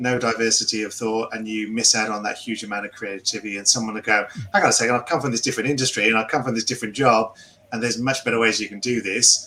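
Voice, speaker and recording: A man with a slight English accent at a very fast pace, monotone, flat intonation, and noticeable background noise. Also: medium pitch for a man. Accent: English, milder than Philippe's. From England. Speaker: podcast co-host. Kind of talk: casual chat.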